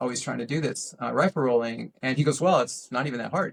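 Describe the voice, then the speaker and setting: A man speaks at a medium pitch with ordinary pitch variation, recorded dry and close with no echo. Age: 60s. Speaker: RC aerobatics pilot. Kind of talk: casual interview chat. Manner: hesitant, many fillers.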